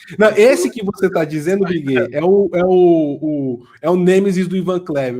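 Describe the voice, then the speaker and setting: The man's voice is high-pitched and shows ordinary pitch variation. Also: hardly any pauses. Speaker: political commentator. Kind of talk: podcast discussion. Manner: halting.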